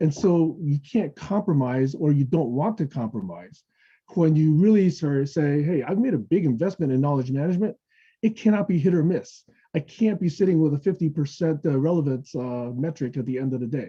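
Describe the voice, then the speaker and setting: Somewhat breathy and fairly high-pitched, a man speaks at a fairly quick pace with lively intonation. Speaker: technology evangelist presenting a webinar. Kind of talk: webinar presentation with Q&A. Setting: online webinar. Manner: fast; casual, conversational with frequent okay.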